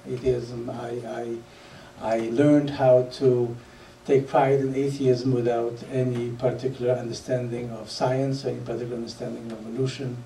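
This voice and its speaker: With a Polish accent, a man talks at medium pitch and a moderate pace. His intonation is monotone and flat, and audible room echo surrounds the recording. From Poland. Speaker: public speaker. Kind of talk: lecture. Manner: halting, many fillers.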